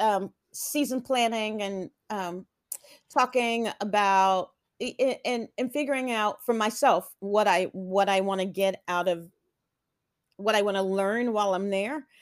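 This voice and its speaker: In a very clean recording with a silent background, a woman speaks at a very slow pace with a fairly high pitch. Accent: American. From Texas (Houston), earlier Atlanta. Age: 50s. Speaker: theater director. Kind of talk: interview.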